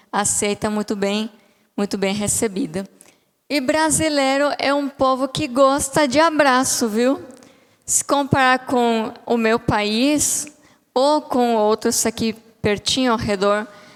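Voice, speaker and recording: With a Bolivian accent, a woman speaks very slowly in a high pitch that shows ordinary variation. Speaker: psychologist, guest speaker. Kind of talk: sermon. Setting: church. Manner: halting.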